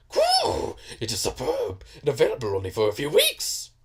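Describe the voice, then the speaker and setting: At a moderate pace, the speaker puts on a character voice. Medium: game stream. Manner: excitable, third-person speech.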